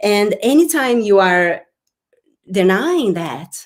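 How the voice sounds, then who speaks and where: A woman speaks with a Brazilian Portuguese accent. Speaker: spiritual business coach. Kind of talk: live-streamed workshop talk. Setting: live online broadcast. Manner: halting, with repetitions.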